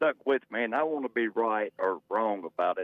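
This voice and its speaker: With an Arkansas accent, the voice moves at a moderate pace through very wide pitch swings in a dry, close sound with no echo. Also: man. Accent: southern US (Arkansas). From Arkansas, Pine Bluff. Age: 60s. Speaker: caller. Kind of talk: call-in radio chat.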